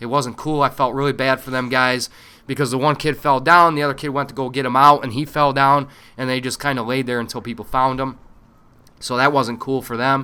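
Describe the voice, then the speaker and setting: A man with an American accent, medium pitch, bright, sharp tone and monotone, flat intonation, at a fairly quick pace. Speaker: Marine veteran and gaming video host. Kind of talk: casual monologue. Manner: halting, stumbling over words; fast.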